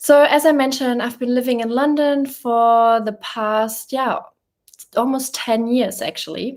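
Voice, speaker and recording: A woman's fairly slow speech in a German accent, with fairly even intonation. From Germany. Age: 30s. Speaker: YouTuber. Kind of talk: casual live chat. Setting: livestream from a rented apartment.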